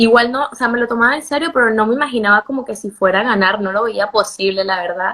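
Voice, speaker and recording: A woman is speaking. She has a Venezuelan accent. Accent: Venezuelan Spanish, retained. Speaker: beauty pageant contestant and model. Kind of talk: interview.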